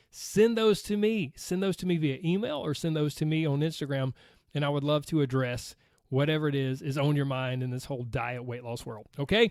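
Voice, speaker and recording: With an American accent, a man speaks at a fairly quick pace and a fairly high pitch with lively intonation, on a very clean recording with a silent background. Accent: Southern US accent, noticeable to outsiders. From US South, Georgia. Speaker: podcast host, weight loss coach. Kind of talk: casual podcast monologue.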